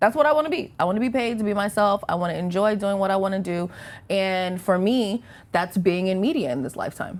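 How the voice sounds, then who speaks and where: At a very fast pace, a woman with a medium pitch talks with lively intonation. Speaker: radio host; media personality. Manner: conversational, sounds like herself rather than a put-on announcer voice.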